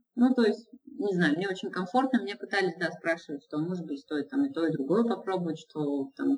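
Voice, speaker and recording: A woman's pitch climbs and drops in very wide swings, her voice somewhat breathy. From Izhevsk, Russia. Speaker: illustrator and mural painter. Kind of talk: casual interview. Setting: Skype call, lower audio quality.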